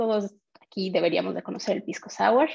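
The background is quiet. A woman's pitch swings very widely. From Mexico. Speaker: community manager; presenter. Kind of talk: online meetup hosting and quiz. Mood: friendly, upbeat. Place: home room. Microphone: webcam.

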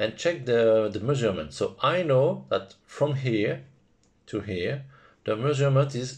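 Speaking very slowly in a medium pitch, a man with a French accent sounds somewhat breathy. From France. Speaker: FPV drone hobbyist. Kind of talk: software tutorial narration.

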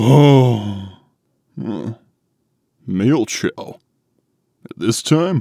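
A put-on character voice from a man, medium in pitch. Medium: dub.

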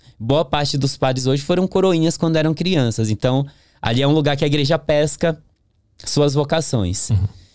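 A fairly high-pitched man, with ordinary pitch variation and very even loudness, in a dry sound with no echo. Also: moderate pace, quiet background. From northern Brazil, interior of Pará (Capanema); Pará, Brazil. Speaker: podcast guest. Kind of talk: interview testimony. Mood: calm reflective storytelling. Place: studio. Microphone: studio mic.

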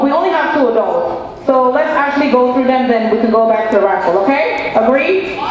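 A woman speaks with a high pitch. Clear background noise and audible room echo surround her voice.

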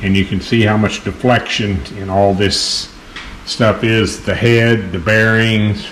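A man speaks at a fairly slow pace in a fairly low voice, with fairly even intonation over light background noise. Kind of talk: tutorial. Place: workshop. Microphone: phone near.

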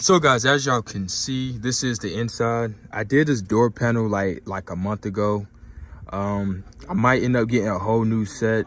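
A man's ordinary speaking voice, fairly low in pitch, at a moderate pace with fairly even intonation and dry sound with no echo. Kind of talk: casual vlog chat. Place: open country. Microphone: phone near.

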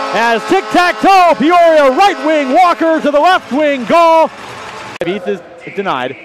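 An excited man with an extremely high pitch and very wide pitch swings, plus noticeable background noise. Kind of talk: live play-by-play hockey commentary over game highlights. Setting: arena broadcast, highlight reel. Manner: fast, clipped, rapid-fire play-by-play; excited, rising call on each goal.

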